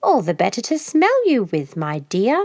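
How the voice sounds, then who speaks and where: A female-sounding put-on character voice, squeaky and hoarse, sits high in pitch for a woman. It moves at a moderate pace. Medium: read story. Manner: sly, coaxing.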